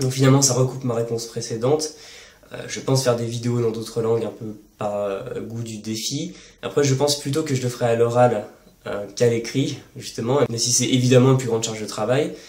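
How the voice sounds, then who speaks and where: Fairly even intonation at a fairly quick pace, with audible room echo and noticeable background noise. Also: man, medium pitch for a man. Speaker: language-learning youtuber. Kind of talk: casual Q&A monologue. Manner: fast; hesitant with fillers.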